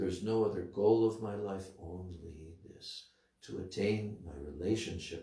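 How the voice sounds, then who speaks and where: A man's somewhat breathy, dark and mellow voice with an American accent, fairly low-pitched and fairly slow, with fairly even intonation and big swings in loudness, audible room echo over a quiet background. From United States. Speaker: spiritual teacher. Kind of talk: religious lecture. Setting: temple. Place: home room.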